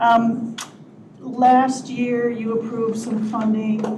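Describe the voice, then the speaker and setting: A woman's fairly high, monotone, flat voice, with audible room echo and noticeable background noise. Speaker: county HR director. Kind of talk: public meeting report.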